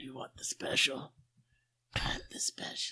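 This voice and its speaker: A man whispers in a put-on character voice that is raspy. He keeps a moderate pace. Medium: actual play. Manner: flirtatious, abrasive.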